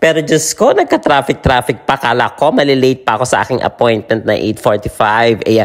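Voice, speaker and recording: Fairly quick delivery with hardly any pauses and music in the background. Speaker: vlogger. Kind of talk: casual vlog narration. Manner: animated.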